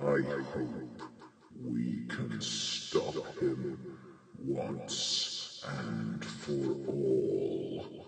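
A man uses a put-on character voice with a very deep, low pitch. He talks at a very slow pace, and a clear echo follows his words. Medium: role play.

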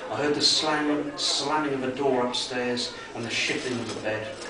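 Over loud background noise and audible room echo, a man talks at a moderate pace. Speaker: author. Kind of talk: horror story reading. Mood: dark, suspenseful narration. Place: bar. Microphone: camera far.

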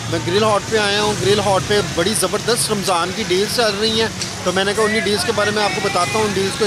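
Loud music plays behind a man who talks at a fairly quick pace. The sound is dry, with no echo. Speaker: food vlogger. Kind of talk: casual vlog chat. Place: street. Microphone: phone near.

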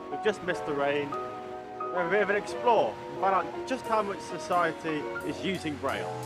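Clear music plays behind the voice. A man talks at a fairly quick pace. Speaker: presenter. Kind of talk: documentary presenting to camera. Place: street.

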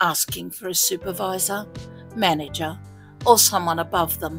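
Music in the background accompanies speech at a moderate pace. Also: woman. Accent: Australian. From Australia. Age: old. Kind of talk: online story reading.

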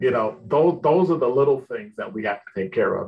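A man speaks in a somewhat breathy voice. His intonation is lively. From Chicago, Illinois. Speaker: retired police lieutenant and professor; professor. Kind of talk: interview answer. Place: home room. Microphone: video call.

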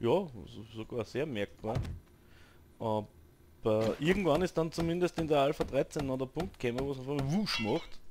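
With an Austrian accent, a man talks at a moderate pace in a fairly high pitch, his intonation lively. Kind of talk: gaming commentary. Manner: casual, chatty.

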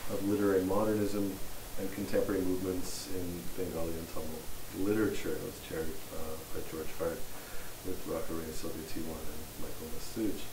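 A man speaks at a fairly quick pace in a very deep, low voice with fairly even intonation, over noticeable background noise. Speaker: host introducing a guest lecturer. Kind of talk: speaker introduction. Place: classroom. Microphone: camera far.

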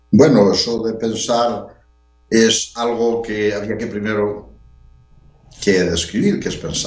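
Very slowly and with long, frequent pauses, a man speaks in fairly even intonation amid audible room echo and faint background music. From Spain, A Coruña (Galicia); Galicia, Spain. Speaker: researcher; interviewee. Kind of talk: interview. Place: home room. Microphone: headset.

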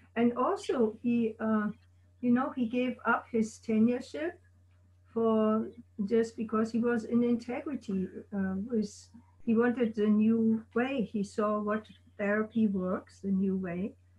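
At a fairly slow pace with long, frequent pauses, a woman speaks in a somewhat breathy voice with fairly even intonation against a quiet background. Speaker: guest's wife and life partner; guest. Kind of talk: oral history interview. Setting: video call. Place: home room. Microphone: video call.

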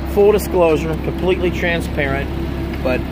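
A man at a moderate pace, loud background noise, and a dry sound with no echo. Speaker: car salesman. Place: street. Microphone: phone near.

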